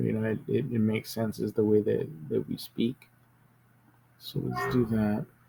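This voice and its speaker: A man with a Spanish accent. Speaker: tech youtuber. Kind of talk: screen-recorded tutorial. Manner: hesitant, many fillers; casual.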